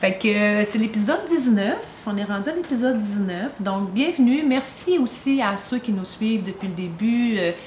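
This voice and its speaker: A woman's fairly high voice with lively intonation amid noticeable background noise. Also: moderate pace. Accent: Quebec. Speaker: podcast co-host. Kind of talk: casual chat.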